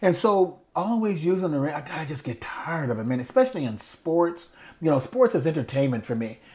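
Very wide pitch swings mark a man's fairly high voice as he rushes at a very fast pace in an American accent, with noticeable background noise. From US South, Mobile, Alabama. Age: 70s. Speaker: podcast co-host, former TV anchor. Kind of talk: casual chat, conversational interview.

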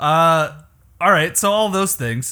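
A man speaks at a moderate pace with a bright, sharp tone and very wide pitch swings. The recording is very clean, with a silent background. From Canada. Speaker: podcast host and musician. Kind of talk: casual chat.

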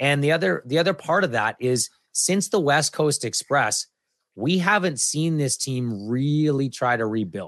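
A man with an ordinary speaking voice talks fairly slowly, his pitch fairly high and his intonation lively. The sound is dry and close with no echo, over a quiet background. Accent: Canadian. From western Canada (Alberta, then Kamloops, BC). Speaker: sports broadcaster and podcaster. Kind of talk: casual interview.

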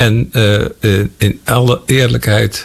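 A man's fairly low pitch with ordinary pitch variation, over noticeable background noise. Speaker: former agriculture minister. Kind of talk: interview.

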